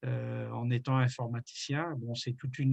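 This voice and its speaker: This man's somewhat breathy voice moves at a fairly slow pace in a flat, monotone delivery. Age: 60s. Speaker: retired environmental activist. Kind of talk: interview. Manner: hesitant, many fillers.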